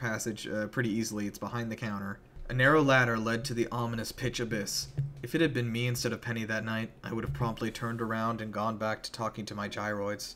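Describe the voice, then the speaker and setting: Fairly even intonation carries a man's very fast speech, with noticeable background noise present. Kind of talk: dramatic horror story narration.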